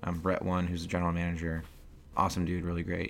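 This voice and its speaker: This man's voice is very deep and low in pitch, with a bright, sharp tone. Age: 20s. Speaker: designer and creative director. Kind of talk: interview monologue. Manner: casual with many fillers; halting with restarts.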